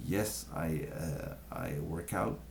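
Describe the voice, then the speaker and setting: A man speaks with vocal fry and a dark, mellow tone, in a French accent. Room echo can be heard. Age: young. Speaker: vlogger sharing health tips. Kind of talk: casual talk to camera. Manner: halting, many fillers.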